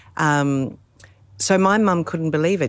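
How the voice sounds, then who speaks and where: A woman talks with an Australian accent. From Adelaide, South Australia (born in England, emigrated aged 3-4). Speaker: rally co-driver. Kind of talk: casual interview chat. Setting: at home, outdoors by pool then inside.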